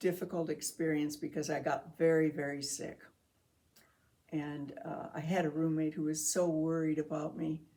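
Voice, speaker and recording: A woman's very deep, low voice with a dark, mellow tone at a moderate pace. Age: 80s+. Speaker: cancer survivor. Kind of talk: testimony. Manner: halting.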